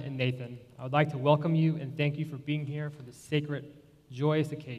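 In a somewhat breathy voice, a man talks at a fairly quick pace with monotone, flat intonation. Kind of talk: formal ceremony address. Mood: warm, solemn. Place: church.

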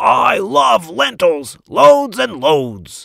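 A man's put-on character voice, pitched fairly high. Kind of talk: bedtime story. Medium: read story. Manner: jolly, exuberant.

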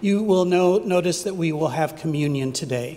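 The voice belongs to a man. He uses lively intonation. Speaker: pastor. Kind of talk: worship service announcements. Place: church. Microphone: podium.

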